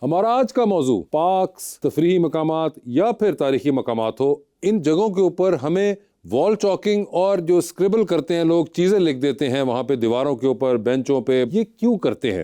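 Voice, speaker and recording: A man's dark, mellow voice, fairly high in pitch, with lively intonation and very even loudness over a quiet background. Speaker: TV talk show host. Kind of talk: talk show host questions.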